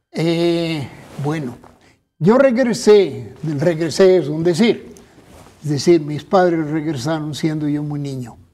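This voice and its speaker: Speech comes very slowly with long, frequent pauses, in a dark, mellow tone with lively intonation and big swings in loudness, amid audible room echo. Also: man, fairly high pitch for a man. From Guanajuato, Mexico, raised in Basque Country. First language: Basque (speaking Spanish). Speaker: politician and academic. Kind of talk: interview.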